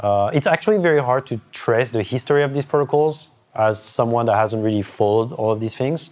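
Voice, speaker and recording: Speaking at a fairly quick pace with hardly any pauses, a man with a French accent uses a medium pitch. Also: ordinary pitch variation. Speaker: cryptography lecturer. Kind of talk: whiteboard lecture. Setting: in-person session with group. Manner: halting, many restarts.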